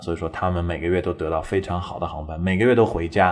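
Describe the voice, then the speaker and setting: A man with a very deep, low voice talks at a very fast pace in fairly even intonation over noticeable background noise. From China. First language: Mandarin Chinese. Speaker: English teacher podcaster. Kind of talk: bilingual English lesson talk show. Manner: casual, mixes Chinese and English.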